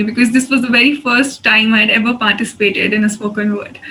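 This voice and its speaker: Over noticeable background noise, a woman talks at a moderate pace with a fairly high pitch and monotone, flat intonation. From India. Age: 20s. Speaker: poet. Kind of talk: poetry reading.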